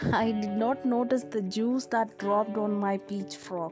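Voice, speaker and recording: Over background music, a woman speaks at a very slow pace with lively intonation. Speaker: grandmother storyteller. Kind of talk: children's storytelling, narrating life memories.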